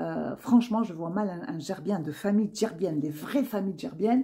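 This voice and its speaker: The woman's voice is somewhat breathy and sits at a medium pitch. Her intonation is lively. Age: 60s. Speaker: YouTuber giving personal commentary. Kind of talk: personal monologue to camera. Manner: hesitant, many fillers and repetitions.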